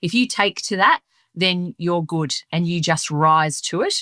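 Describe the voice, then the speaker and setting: With an Australian accent and a bright, sharp tone, a woman speaks at a fairly low pitch with fairly even intonation in a very clean recording over a silent background. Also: dry, close sound with no echo. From Melbourne, Australia. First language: Sicilian dialect of Italian. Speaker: leadership guest. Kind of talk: interview.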